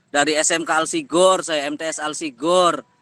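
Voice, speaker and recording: In a Cirebon accent, a man speaks at a moderate pace with a high pitch, lively intonation and a bright, sharp tone. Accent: local northern Cirebon dialect. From Cirebon area, West Java (Kapetakan). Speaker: teacher and university student. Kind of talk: class discussion. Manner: forceful, pushy.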